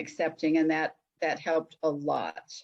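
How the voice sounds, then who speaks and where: This woman talks with a western US accent. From Utah, Salt Lake City. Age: 60s. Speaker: psychic and hypnotherapist. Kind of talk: interview.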